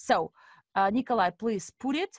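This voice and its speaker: In a Russian accent, a woman speaks at a high pitch with lively intonation, the sound dry and close with no echo. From Estonia (Narva), Russian-speaking family. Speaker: investment coach and webinar host. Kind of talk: webinar presentation. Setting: online webinar with interpreters.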